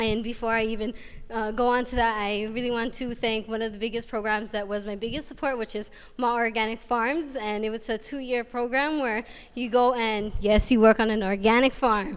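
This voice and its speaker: Speaking with a Hawaiian accent, a woman goes at a fairly quick pace in a fairly high pitch. Her intonation is monotone and flat, and the recording is very clean with a silent background. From Hawaii, Waianae coast of Oahu. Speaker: college student. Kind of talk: student presentation. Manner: fast.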